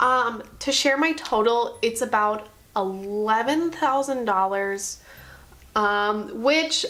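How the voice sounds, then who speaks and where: A woman with an American accent speaks in a bright, sharp tone at a fairly high pitch. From New Jersey. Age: 20s. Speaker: YouTuber and college student. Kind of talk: vlog, casual chat to camera. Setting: apartment, indoors. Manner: fast.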